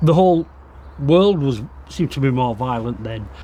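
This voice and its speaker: A somewhat breathy voice with a West Yorkshire accent, a moderate pace and ordinary pitch variation. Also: man. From northern England, Bradford. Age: 60s. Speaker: exhibition co-creator. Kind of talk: interview reminiscence. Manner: halting.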